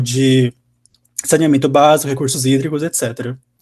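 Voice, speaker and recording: A man's ordinary speaking voice, fairly high in pitch, with fairly even intonation and a moderate pace. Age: 20s. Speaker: university engineering student. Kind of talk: interview, casual.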